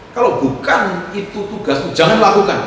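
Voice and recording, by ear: Strong room echo surrounds a man speaking at a high pitch.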